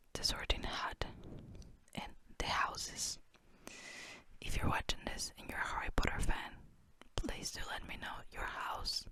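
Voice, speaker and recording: Whispering at a fairly slow pace with long, frequent pauses, the voice sits over noticeable background noise. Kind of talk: ASMR book flip-through, casual talk. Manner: whispered; relaxed, casual.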